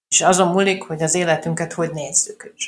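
Her voice is an unremarkable speaking voice, fairly low for a woman, with ordinary pitch variation as she talks at a moderate pace. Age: 40s. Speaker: journalist and adoption blogger. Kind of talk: interview.

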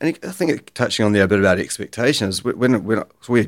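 A man with a New Zealand accent, very fast pace and ordinary pitch variation. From New Zealand, Bay of Islands. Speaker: gym founder. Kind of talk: podcast interview. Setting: studio.

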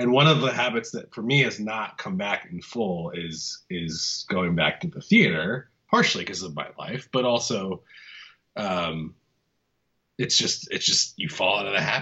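A man talks in a plain, everyday voice at a fairly low pitch. His intonation is lively and his pace moderate. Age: 30s. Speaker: film podcast co-host. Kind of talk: casual chat.

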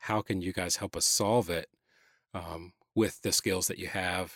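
With an American accent, a man speaks at a moderate pace in a very deep, low pitch, his intonation fairly even and the sound dry and close with no echo. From Atlanta, Georgia (US South). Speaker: church creative director. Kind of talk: interview conversation. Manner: halting, many fillers.

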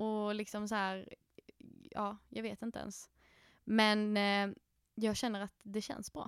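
In a very clean recording against a silent background, a woman talks at a very slow pace in a monotone, flat intonation, with long, frequent pauses. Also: medium pitch for a woman. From Skåne, southern Sweden. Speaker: podcast co-host. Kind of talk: casual chat. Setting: podcast studio in a coworking space.

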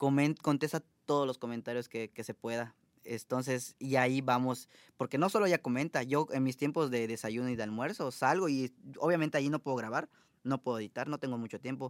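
A plain, everyday voice at a fairly quick pace, on a very clean recording with a silent background. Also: man, medium pitch for a man, ordinary pitch variation, dry, close sound with no echo. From Mexico, Mérida, Yucatán. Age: 30s. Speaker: social media content creator. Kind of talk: casual interview. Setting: studio.

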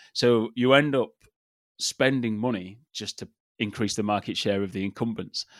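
On a very clean recording with a silent background, dry and close with no echo, a man with an English accent speaks at medium pitch and a moderate pace. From England. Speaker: marketing strategist. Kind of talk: interview. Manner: animated; halting.

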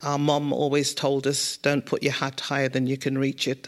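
In a very clean recording with a silent background, a woman with a Birmingham accent and a very deep, low pitch talks at a moderate pace. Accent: Birmingham (Brummie) English. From Birmingham, England (King's Heath). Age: 60s. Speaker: a cappella singer and group founder. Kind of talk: interview before live audience. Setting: studio with live audience.

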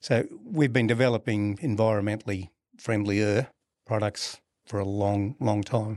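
A man with an Australian accent, fairly low in pitch, at a fairly slow pace with fairly even intonation. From Brisbane, Australia. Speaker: refrigeration company founder. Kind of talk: casual interview.

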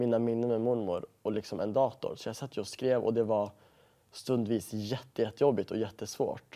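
The recording is very clean, with a silent background. A man speaks in a dark, mellow tone with fairly even intonation. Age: 20s. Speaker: actor and presenter. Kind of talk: interview.

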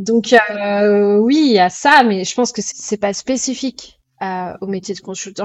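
This voice belongs to a woman. It rests at a medium pitch. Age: 30s. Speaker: chef and restaurant owner. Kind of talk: interview. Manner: hesitant, many fillers.

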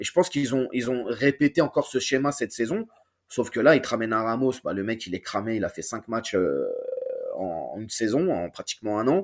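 A man's ordinary speaking voice, medium in pitch, with lively intonation at a fairly quick pace. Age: 30s. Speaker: football YouTuber and fan. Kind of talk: casual chat.

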